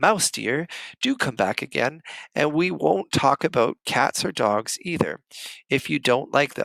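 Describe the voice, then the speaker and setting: Soft-spoken and raspy, a man puts on a character voice at a medium pitch with lively intonation and a fairly slow pace, recorded dry and close with no echo on a very clean track with a silent background. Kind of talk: polite, pleading. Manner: soft, gentle, coaxing.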